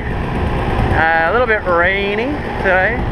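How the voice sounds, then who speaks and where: Loud noise fills the background while the sound itself stays dry and free of echo. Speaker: dirt bike rider vlogger. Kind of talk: casual vlog chat. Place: motorbike. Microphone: helmet.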